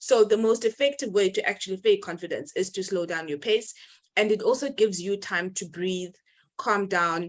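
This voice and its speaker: Her pitch sits in the medium range for a woman, with ordinary variation. The background is quiet. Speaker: webinar host. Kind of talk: casual chat. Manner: fast.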